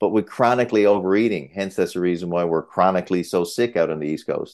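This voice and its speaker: A man talks very fast at a very deep, low pitch, with ordinary pitch variation and a quiet background. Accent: Newfoundland. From Newfoundland, Canada. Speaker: cardiologist. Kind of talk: interview.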